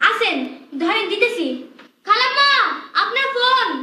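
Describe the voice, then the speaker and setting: A put-on character voice with an extremely high pitch. It moves at a moderate pace, with a slight echo. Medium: short film. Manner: polite, colloquial.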